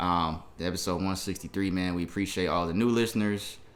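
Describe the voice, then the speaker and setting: Audible room echo surrounds a man with a very deep, low voice. He speaks at a fairly quick pace with fairly even intonation. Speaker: podcast co-host. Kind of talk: casual chat. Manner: soft-spoken.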